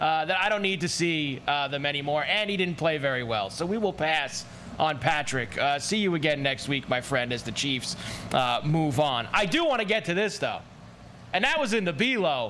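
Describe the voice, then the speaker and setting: An unremarkable speaking voice talks at a moderate pace with lively intonation. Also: man, fairly high pitch for a man. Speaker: co-host.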